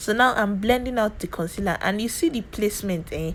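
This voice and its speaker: With a Nigerian accent, a woman speaks at a medium pitch in an animated tone. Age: 20s. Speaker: beauty youtuber. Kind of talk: tutorial. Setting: home.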